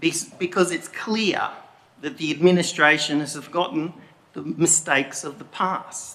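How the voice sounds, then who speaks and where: Delivery comes at a fairly slow speed. The voice rises and falls in an ordinary way. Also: man. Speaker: member of the public making a statement. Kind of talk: public statement at council meeting. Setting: council chamber meeting. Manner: deliberately slow.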